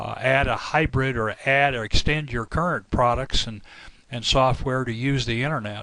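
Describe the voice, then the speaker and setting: Fairly even intonation, a bright, sharp tone and a moderate pace. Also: man, medium pitch for a man. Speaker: software company representative. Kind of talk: product presentation.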